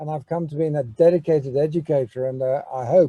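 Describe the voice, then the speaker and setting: Fairly quick, dark and mellow speech from a man with a fairly high pitch and ordinary pitch variation, in a dry, close sound with no echo. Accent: English. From England. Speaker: business school educator. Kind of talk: welcome address. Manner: halting, many fillers.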